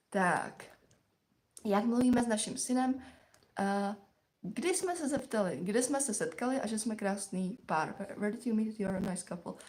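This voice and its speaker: This woman has an ordinary speaking voice, with fairly high pitch, lively intonation and a moderate pace. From Czechia. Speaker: live stream co-host, mother. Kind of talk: casual chat. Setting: live stream.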